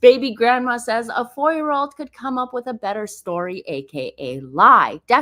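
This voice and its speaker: Animated and bright with a sharp tone, a woman's voice makes very wide pitch swings on a very clean recording with a silent background. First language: not English. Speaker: gossip commentary YouTuber. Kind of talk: live stream commentary. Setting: live stream.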